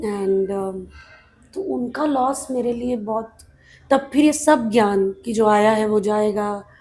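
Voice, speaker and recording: A woman's voice, fairly high in pitch. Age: 30s. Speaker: actress. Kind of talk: interview answer.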